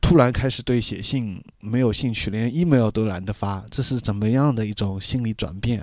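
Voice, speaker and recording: A man speaks at a moderate pace. His pitch sits in the medium range with ordinary variation. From Shanghai (urban). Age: 30s. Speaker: podcast host. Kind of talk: solo personal monologue. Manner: halting with many filler sounds.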